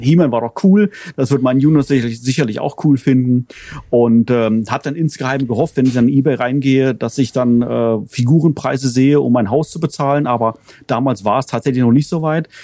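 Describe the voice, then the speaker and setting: A man at a fairly quick pace, with ordinary pitch variation and a dry, close sound with no echo. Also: medium pitch for a man. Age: 40s. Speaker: toy collector. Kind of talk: casual chat. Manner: halting.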